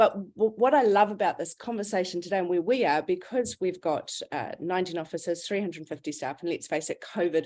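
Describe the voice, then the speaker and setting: Speaking at a fairly quick pace with ordinary pitch variation, a woman with a New Zealand accent is heard over a quiet background. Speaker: recruitment business founder. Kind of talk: webinar panel discussion.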